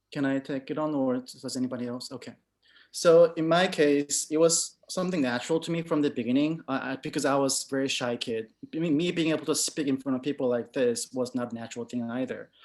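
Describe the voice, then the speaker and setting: A man with a fairly high voice and a non-native accent talks at a very fast pace. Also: fairly even intonation. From moved to an English-speaking country in middle school. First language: not English. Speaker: UX/UI designer. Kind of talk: panel Q&A. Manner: halting, repeats words.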